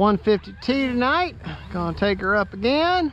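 Recorded with a dry sound with no echo, a man speaks over light background noise. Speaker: RC hobbyist vlogger. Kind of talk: casual vlog chat. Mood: relaxed, friendly. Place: open country. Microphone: phone near.

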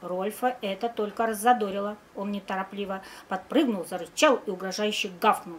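Here the reading voice sounds natural.

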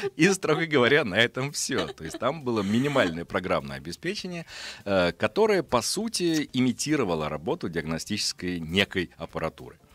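A man with vocal fry makes very wide pitch swings at a moderate pace, in a dry sound with no echo. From Russia, Astrakhan, moved often as military child; Russia. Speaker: physician and science journalist; science journalist. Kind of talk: radio interview. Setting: radio studio. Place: studio. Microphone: studio mic.

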